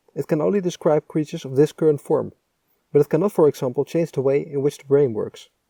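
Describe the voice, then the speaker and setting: This voice has a dark, mellow tone and a Dutch accent, with ordinary pitch variation. The pace is very fast, and the sound is dry and close with no echo. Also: man, fairly high pitch for a man, big swings in loudness. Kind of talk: technical explainer narration.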